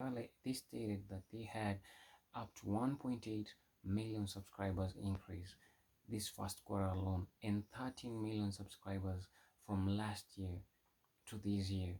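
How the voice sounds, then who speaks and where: A man with a fairly low, somewhat breathy voice, a dark, mellow tone, fairly even intonation, a fairly slow pace and long, frequent pauses. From Kenya. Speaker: tech YouTuber. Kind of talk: tech news vlog. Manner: halting, with frequent restarts.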